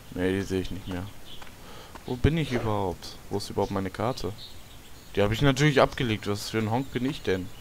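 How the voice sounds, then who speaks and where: A man with a fairly low voice and ordinary pitch variation talks at a very fast pace, broken by long, frequent pauses. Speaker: gaming video creator. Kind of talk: let's play commentary. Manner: quiet at times; animated, exclamatory.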